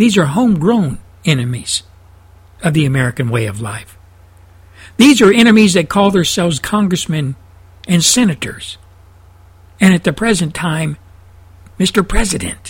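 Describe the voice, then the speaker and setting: Speaking with a Texan accent, a man uses a high pitch with very wide pitch swings at a moderate pace, broken by long, frequent pauses. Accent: Texan Southern US. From Texas. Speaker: talk radio host. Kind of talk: fiery conservative radio rant. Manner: indignant, hammering and repetitive; folksy storytelling with laughs.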